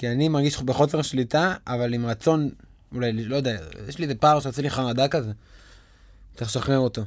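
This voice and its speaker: Speaking at a fairly quick pace broken by long, frequent pauses, a man uses a medium pitch with ordinary pitch variation. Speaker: podcast host and actor. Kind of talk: casual chat. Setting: recording studio.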